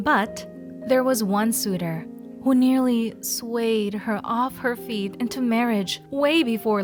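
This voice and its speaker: A woman at a medium pitch and fairly slow pace, with music in the background. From Philippines. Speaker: voice actor. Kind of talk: story narration.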